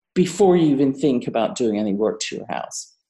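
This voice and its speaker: A woman with a British accent, very deep and low in pitch, dark and mellow in tone, with lively intonation. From Britain. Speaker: architect. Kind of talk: casual interview conversation.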